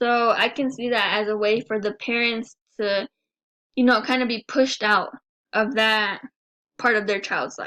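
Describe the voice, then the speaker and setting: A woman with a fairly high pitch and a bright, sharp tone speaks at a moderate pace. Her intonation is monotone and flat, with long, frequent pauses. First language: Spanish. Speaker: student. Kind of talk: class presentation.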